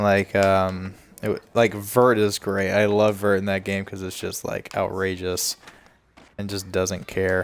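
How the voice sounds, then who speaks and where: A man talks at a fairly slow pace in a relaxed tone. His pitch is fairly low and his intonation monotone and flat. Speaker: gaming streamer. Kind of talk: casual gameplay commentary. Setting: livestream. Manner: stuttering.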